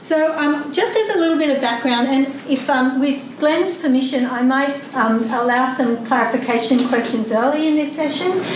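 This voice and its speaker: A woman with an Australian accent talks at a moderate pace in a high pitch, with ordinary pitch variation and very even loudness, amid audible room echo and noticeable background noise. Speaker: academic researcher presenting a paper. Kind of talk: conference presentation. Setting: conference room with live audience. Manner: soft-spoken; halting, with many fillers.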